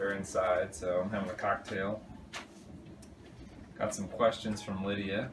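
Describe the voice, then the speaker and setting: Mumbling in a fairly low, flat monotone, a man talks at a moderate pace with long, frequent pauses over noticeable background noise. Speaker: fiancé answering couple questions. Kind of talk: casual vlog. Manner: halting.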